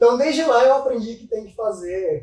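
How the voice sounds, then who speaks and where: A man's voice with noticeable background noise. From Minas Gerais, Brazil (São Gotardo). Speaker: financial investment advisor. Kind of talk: casual interview chat.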